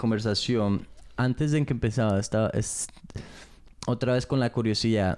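A man at a medium pitch and moderate pace, with very even loudness, fairly even intonation and long, frequent pauses. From England. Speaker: podcast co-host. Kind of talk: casual chat. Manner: halting.

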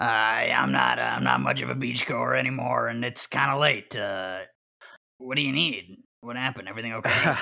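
Doing a put-on character voice, a man speaks at a moderate pace in a raspy tone at a medium pitch. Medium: actual play.

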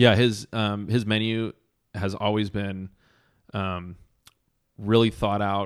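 A man with a fairly low pitch, monotone, flat intonation and a very slow pace with long, frequent pauses, on a very clean recording with a silent background. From Southern California. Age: 30s. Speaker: chef and entrepreneur. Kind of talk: casual chat.

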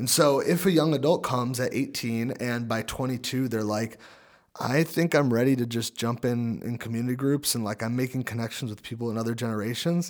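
In a very clean recording with a silent background, a man with an unremarkable speaking voice talks at a fairly quick pace, his medium pitch showing ordinary variation. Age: 20s. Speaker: church young adults director. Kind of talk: casual chat.

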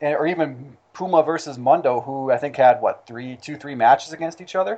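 The voice is an unremarkable speaking voice with ordinary pitch variation. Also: man. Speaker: wrestling fan guest. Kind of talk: casual chat.

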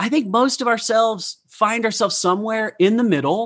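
A man speaks with a high pitch. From Utah. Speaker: podcast host and professional speaker. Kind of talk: interview.

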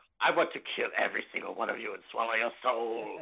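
A man talks in a raspy, put-on character voice. His pace is very fast. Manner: menacing.

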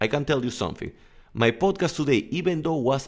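A man with a Spanish accent and lively intonation, on a very clean recording with a silent background. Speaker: English coach and podcaster. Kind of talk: casual solo podcast monologue.

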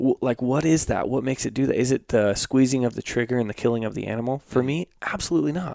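With an American accent and an ordinary speaking voice, a man talks at a fairly quick pace and medium pitch with ordinary pitch variation, the sound dry and close with no echo. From rural US West. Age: 30s. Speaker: hunting filmmaker. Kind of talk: casual chat. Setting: studio.

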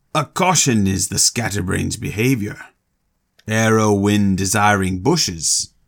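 A man speaks in a put-on character voice, fairly low-pitched, at a moderate pace with very even loudness, on a very clean recording with a silent background. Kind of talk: archaic, stilted.

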